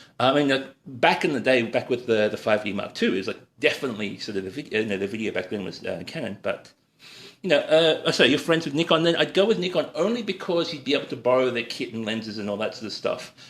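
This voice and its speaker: A man with an Australian accent, medium in pitch, very fast, with very wide pitch swings. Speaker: cooking livestreamer and freelance photographer. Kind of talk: live-stream cooking demo with viewer Q&A. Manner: casual, hesitant with many fillers.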